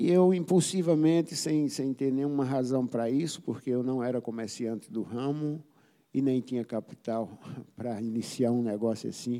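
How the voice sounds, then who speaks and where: Dark, mellow tone from a man at a medium pitch, with ordinary pitch variation and a moderate pace. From Paraíba, Brazil (interior). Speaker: saxophonist. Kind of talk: interview.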